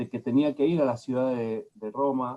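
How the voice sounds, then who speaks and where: A man's dark, mellow voice at a medium pitch, with ordinary pitch variation and a very slow pace. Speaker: lecturer on psychoanalysis. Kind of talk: lecture.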